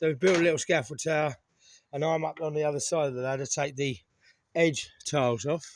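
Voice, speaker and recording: With an English accent, a man speaks fairly quickly at a fairly high pitch with ordinary pitch variation. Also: very clean recording, silent background. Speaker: renovation vlogger. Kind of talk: casual vlog narration.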